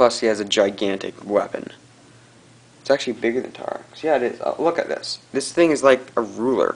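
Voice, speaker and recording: The speech comes at a fairly quick pace against noticeable background noise. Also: man. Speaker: toy reviewer. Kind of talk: casual talk to camera, toy review. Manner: hyper, excited rant.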